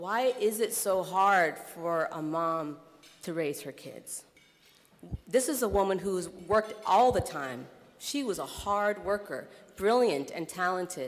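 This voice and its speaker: With an American accent and a plain, everyday voice, the speaker goes at a fairly slow pace while the loudness swings widely. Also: woman, medium pitch for a woman. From US Midwest (Iowa). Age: 30s. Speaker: nonprofit executive director, keynote speaker. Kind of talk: keynote speech. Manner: conversational with frequent fillers.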